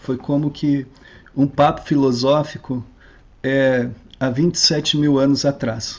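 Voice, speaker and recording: A man speaks in a normal speaking voice at a fairly high pitch. His intonation stays fairly even. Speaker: lecturer. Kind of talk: lecture.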